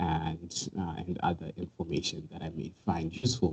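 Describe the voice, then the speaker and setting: A man's voice has a dark, mellow tone and is somewhat breathy. His intonation stays fairly even. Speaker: cybersecurity presenter. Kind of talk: webinar tutorial. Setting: online webinar. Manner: fast.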